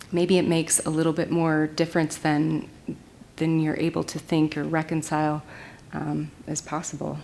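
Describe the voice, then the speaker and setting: A woman with an American accent talks at a moderate pace in a very deep, low pitch, her tone dark and mellow and her intonation monotone and flat. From US Pacific Northwest, Olympic Peninsula. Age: 40s. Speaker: glass artist. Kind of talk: lecture. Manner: halting.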